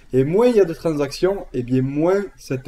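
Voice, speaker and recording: With a southern French accent, a man speaks at a fairly slow pace in a fairly high voice with a dark, mellow tone and ordinary pitch variation. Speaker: trading educator. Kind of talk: tutorial. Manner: casual, with many fillers.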